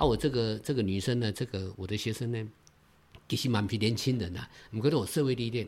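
Medium-pitched man's voice at a fairly quick pace with ordinary pitch variation. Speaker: Taiwanese-language songwriter. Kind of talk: casual interview chat. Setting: at guest's creative base. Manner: animated.

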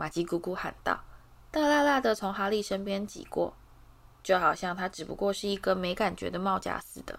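The intonation is lively in this natural reading voice.

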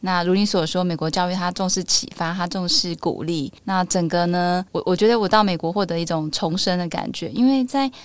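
The speaker has a Taiwanese accent. The pace is fairly quick. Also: woman, very clean recording, silent background. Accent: Taiwanese Mandarin. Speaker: podcast host. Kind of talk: casual chat.

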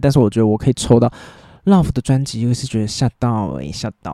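A man with a Taiwanese accent talks at a very fast pace in a dark, mellow tone with lively intonation, recorded very cleanly against a silent background with a dry, close sound and no echo. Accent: Taiwanese Mandarin. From Taiwan, New Taipei. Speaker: solo podcast host. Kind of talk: casual monologue.

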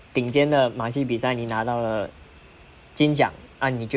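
Over music in the background, a man with medium pitch and fairly even intonation speaks at a moderate pace. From Malaysia. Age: 20s. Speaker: diabolo performer. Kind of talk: casual interview.

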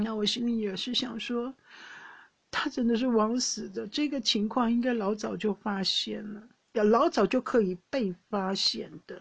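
A woman's somewhat breathy voice, fairly high in pitch with ordinary pitch variation, at a fairly slow pace. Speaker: podcast host. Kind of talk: casual monologue. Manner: hesitant with many fillers.

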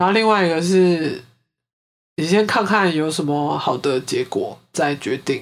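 A woman speaks with a Taiwanese accent in a fairly low voice. She leaves long, frequent pauses, and the recording is very clean with a silent background. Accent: Taiwanese Mandarin. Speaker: podcast host. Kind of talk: true crime storytelling; casual chat.

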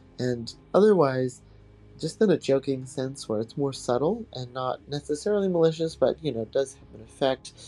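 With music in the background, a man speaks at a moderate pace with a fairly high pitch, lively intonation and big swings in loudness. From Hawaii. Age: 20s. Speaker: insurance underwriter. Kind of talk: personal reflection.

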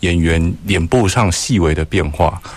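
A man's very deep, low voice. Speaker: radio co-host. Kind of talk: radio interview. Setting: studio.

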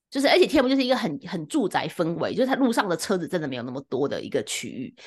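Her pitch swinging very widely, a woman with a Taiwanese accent speaks very fast at a medium pitch against a quiet background. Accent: Taiwanese Mandarin. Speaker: podcast co-host. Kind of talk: casual chat. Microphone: new microphone, first episode using it.

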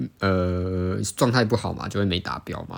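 In a very clean recording with a silent background, a man with a very deep, low pitch talks with fairly even intonation. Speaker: student competitive sport stacker and podcaster. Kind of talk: casual solo podcast monologue. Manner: fast.

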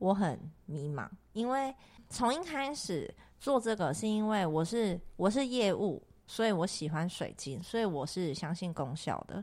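A woman's voice with very wide pitch swings at a moderate pace, in a very clean recording with a silent background. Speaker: crystal shop owner and podcast host. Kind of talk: casual chat. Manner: loud; talkative, animated.

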